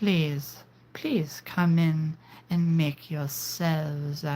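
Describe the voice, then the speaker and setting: In a put-on character voice at middle pitch, the speaker goes at a very slow pace. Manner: sinister, welcoming.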